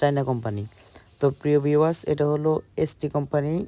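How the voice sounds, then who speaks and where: Ordinary pitch variation runs through this dark, mellow tone. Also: man. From Bangladesh, Comilla. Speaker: PVC ceiling installer. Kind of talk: sales pitch.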